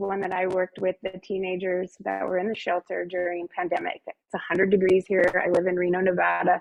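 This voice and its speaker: She speaks at a moderate speed. This woman has an unremarkable speaking voice, medium in pitch. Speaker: wellness presenter. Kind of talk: guided meditation; presentation.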